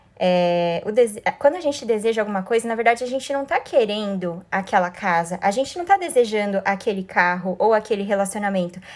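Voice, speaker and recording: A woman's medium-pitched voice with lively intonation, moving at a fairly quick pace with hardly any pauses. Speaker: life coach. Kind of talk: live stream talk. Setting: live stream. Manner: fast.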